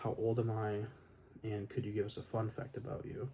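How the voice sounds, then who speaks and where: A soft-spoken man, somewhat breathy, medium in pitch, with a dark, mellow tone. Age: 20s. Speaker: electronics repair technician. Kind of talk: ASMR Q&A, soft-spoken talk to camera.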